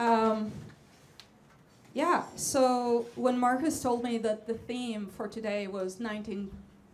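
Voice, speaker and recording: A woman speaks with an Israeli accent at a fairly high pitch. Audible room echo and noticeable background noise surround her. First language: Hebrew. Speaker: jazz vocalist. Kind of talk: stage banter.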